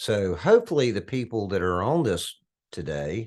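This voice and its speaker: With hushed surroundings, a man delivers his words fairly slowly. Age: 60s. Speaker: financial educator and conference co-host. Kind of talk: virtual conference panel discussion.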